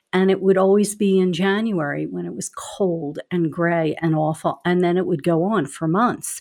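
Speaking at a moderate pace with hardly any pauses, a woman with a Philadelphia accent uses a fairly low pitch. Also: ordinary pitch variation. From Philadelphia, US. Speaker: advocacy executive. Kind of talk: casual conversation.

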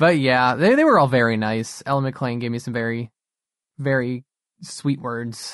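A normal speaking voice moves at a moderate pace with fairly even intonation. The background is quiet. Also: man, medium pitch for a man. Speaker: podcast co-host. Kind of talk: casual chat.

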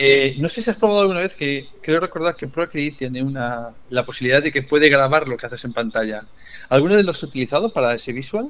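The man's pitch sits fairly high. He rattles along at a very fast speed. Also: lively intonation. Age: 60s. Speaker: educational podcast co-host. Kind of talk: casual chat.

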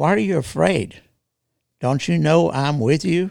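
A man with a Texas accent is heard in a very clean recording with a silent background. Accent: Texas drawl. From Texas, rural. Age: 70s. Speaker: military veteran. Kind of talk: casual interview conversation. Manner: halting, many fillers.

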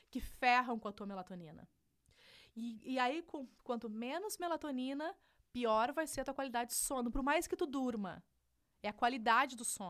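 A woman speaks in a high voice at a moderate pace. Her tone is animated and her intonation lively. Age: 30s. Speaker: digital entrepreneur. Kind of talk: casual interview. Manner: animated, laughs often.

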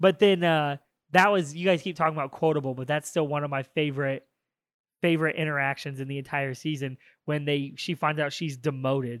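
A man talks at a fairly quick pace in an ordinary speaking voice, his pitch fairly high and his intonation fairly even. The recording is very clean with a silent background, and the sound is dry and close with no echo. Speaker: podcast host. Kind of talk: casual banter, joking.

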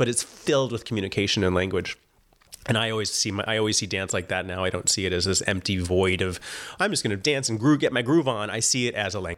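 Very fast and fairly low-pitched, a man talks with ordinary pitch variation. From US West Coast, moved around (Oregon, Singapore). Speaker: dancer and choreographer. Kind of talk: casual interview chat.

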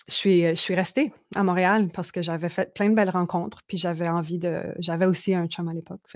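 A woman with a plain, everyday voice speaks fairly quickly at a fairly low pitch, her intonation fairly even. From Manitoba, Canada (Franco-Manitoban Métis village). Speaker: singer-songwriter. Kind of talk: casual interview.

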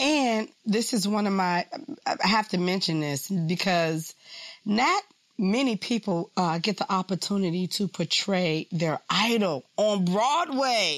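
The speaker has an animated, upbeat tone and lively intonation, delivered at a fairly slow pace. The sound is dry and close with no echo, and the loudness stays very even. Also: woman, medium pitch for a woman. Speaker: radio show host. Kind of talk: interview with scripted intro.

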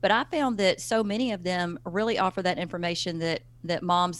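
On a very clean recording with a silent background, a woman with a Southern US accent and a fairly low pitch speaks at a moderate pace. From US South. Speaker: parenting author and speaker. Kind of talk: interview.

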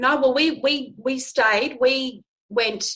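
Bright and sharp in tone, a woman with an Australian accent speaks with ordinary pitch variation. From Australia, Darwin (Northern Territory). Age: 40s. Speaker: women's counsellor and show host. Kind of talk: interview conversation.

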